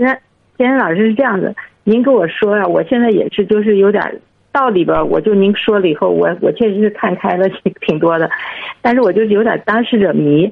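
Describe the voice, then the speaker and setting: Speaking at a fairly quick pace, a woman keeps her loudness very even, her medium pitch rising and falling in an ordinary way. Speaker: caller, parent asking for advice. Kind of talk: phone-in advice call. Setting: phone call. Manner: halting.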